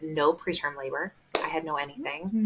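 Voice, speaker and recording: This woman has a fairly low pitch, fairly even intonation and an unremarkable speaking voice. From US Midwest. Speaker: doula sharing her birth story. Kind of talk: podcast interview, personal testimony.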